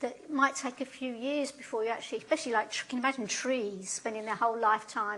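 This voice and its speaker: A woman with a London accent speaks at a very fast pace. Her tone is bright and sharp, her pitch high with ordinary pitch variation. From London, England. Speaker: professor. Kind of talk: lecture. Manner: conversational, frequent tag questions.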